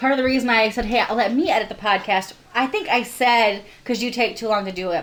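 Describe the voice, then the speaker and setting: Over noticeable background noise, a woman with a fairly high voice talks at a fairly quick pace in an animated tone with ordinary pitch variation. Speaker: podcast co-host. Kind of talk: casual chat.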